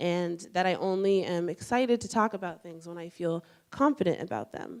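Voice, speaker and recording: The recording is very clean, with a silent background. A woman with a plain, everyday voice speaks at a moderate pace and a fairly low pitch. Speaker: student intern. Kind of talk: personal story talk.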